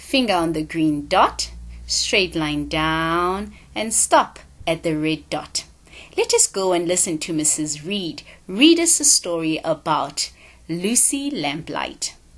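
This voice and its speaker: Against a quiet background, a woman with a South African accent speaks at a very slow pace. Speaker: teacher. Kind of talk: children's phonics lesson. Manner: upbeat.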